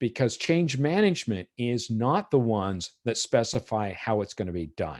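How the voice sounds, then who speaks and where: A medium-pitched man with very wide pitch swings, on a very clean recording with a silent background. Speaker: IT management consultant. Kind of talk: presentation at virtual meeting. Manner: fast.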